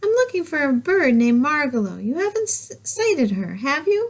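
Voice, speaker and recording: In a put-on character voice, a woman speaks at a moderate pace, high in pitch, with very wide pitch swings. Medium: read story.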